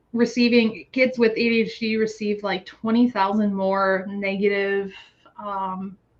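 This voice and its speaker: With an American accent, a woman speaks at a medium pitch and a fairly slow pace. Her intonation is monotone and flat. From United States. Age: 30s. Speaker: guest with ADHD, PhD holder. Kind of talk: casual interview chat. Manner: halting, many fillers and restarts.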